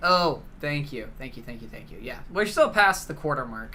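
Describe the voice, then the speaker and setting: A man talking at a fairly quick pace amid audible room echo. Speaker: gaming livestreamer. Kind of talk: live stream chat while gaming. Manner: casual, chatty.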